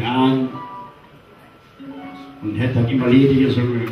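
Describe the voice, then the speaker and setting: The man's voice carries audible room echo, with light background noise behind it. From Cologne, Germany. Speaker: carnival entertainer. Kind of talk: emotional personal story told to an audience. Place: stage.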